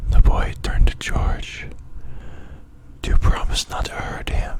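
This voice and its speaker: A man whispers at a fairly slow pace, his loudness swinging widely. Background noise is noticeable. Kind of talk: bedtime story reading. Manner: soft-spoken.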